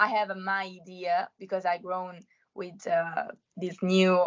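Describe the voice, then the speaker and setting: With a Roman accent, a woman speaks at a very slow pace. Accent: Roman Italian. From Italy, Rome. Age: 20s. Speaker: law student and amateur singer. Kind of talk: interview. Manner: halting.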